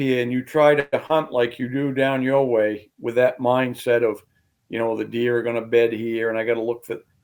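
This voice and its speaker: A man with an American accent has a plain, everyday voice at a medium pitch. He talks at a moderate pace. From southern Maine, US. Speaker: hunting guide and big-woods tracker. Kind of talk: casual podcast interview.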